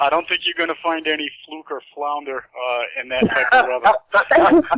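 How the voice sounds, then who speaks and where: Speaking with a Boston accent, the voice moves at a moderate pace with ordinary pitch variation. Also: man, fairly high pitch for a man. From Massachusetts, Boston area. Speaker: radio host. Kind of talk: casual chat. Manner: animated.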